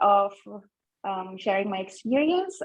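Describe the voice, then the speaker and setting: At a very slow pace, a woman speaks with a medium pitch. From Philippines. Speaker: nurse, mental health speaker. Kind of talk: personal testimony on panel. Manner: halting, many fillers.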